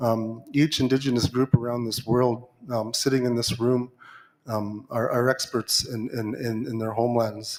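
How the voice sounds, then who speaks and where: A man of medium pitch at a moderate pace, in a monotone, flat intonation. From Arctic Inuit region. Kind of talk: conference floor remarks. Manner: halting, many fillers and repetitions.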